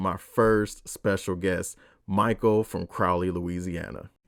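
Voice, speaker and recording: On a very clean recording with silence behind him, a man talks. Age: 30s. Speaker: podcast host. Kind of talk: podcast interview; scripted podcast intro.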